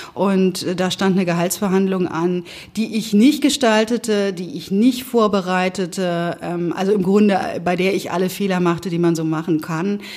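A woman with an unremarkable speaking voice, medium in pitch, at a moderate pace with ordinary pitch variation. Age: 50s. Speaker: managing director. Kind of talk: interview.

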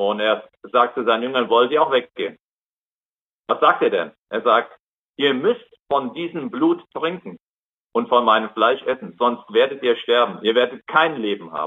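Pausing often and at length, a man talks at a moderate speed in a medium pitch, his pitch varying in an ordinary way. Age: 60s. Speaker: lay preacher. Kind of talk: sermon. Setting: video call.

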